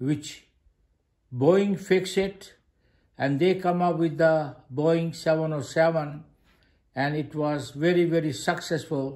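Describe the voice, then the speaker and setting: At a very slow pace, a fairly high-pitched man speaks with fairly even intonation and long, frequent pauses. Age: 80s+. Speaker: retired engineer, DIY robot builder. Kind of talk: casual video monologue. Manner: halting.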